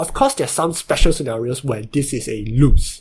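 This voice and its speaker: Somewhat breathy, a man talks at a fairly high pitch. His intonation is lively. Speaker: Chinese chess tutor. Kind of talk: game tutorial narration.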